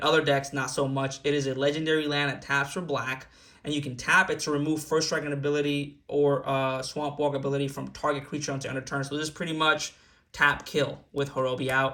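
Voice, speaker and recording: A man's bright, sharp voice at a fairly quick pace on a very clean recording with a silent background. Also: fairly high pitch for a man. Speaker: gaming YouTuber. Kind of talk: tutorial. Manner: fast; animated.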